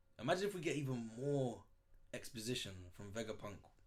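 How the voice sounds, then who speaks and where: A man speaks in an animated tone, with audible room echo. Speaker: manga reaction youtuber. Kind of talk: casual reaction commentary. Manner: fast.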